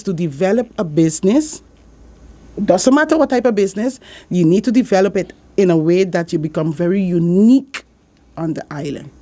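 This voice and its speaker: Her voice has a dark, mellow tone and medium pitch. The woman moves at a fairly quick pace, her pitch swinging very widely. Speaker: accounting business owner. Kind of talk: radio interview.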